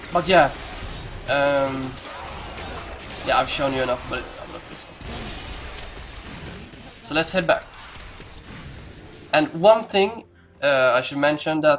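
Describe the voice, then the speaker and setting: Music is in the background. A man with a non-native accent speaks at a fairly high pitch. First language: not English. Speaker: gamer. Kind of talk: casual gameplay commentary. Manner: hesitant, many pauses and fillers.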